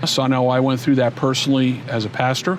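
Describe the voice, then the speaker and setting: A man talks at a fairly quick pace, his medium pitch held in monotone, flat intonation. The recording carries audible room echo and noticeable background noise. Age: 60s. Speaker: former pastor. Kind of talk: interview.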